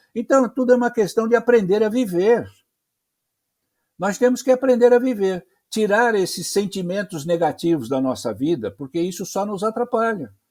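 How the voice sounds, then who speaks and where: Over a very clean recording with a silent background, a man speaks at a moderate pace in a high voice with a dark, mellow tone. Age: 80s+. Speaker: journalist and spiritist speaker. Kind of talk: religious discussion interview. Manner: halting, repeats words.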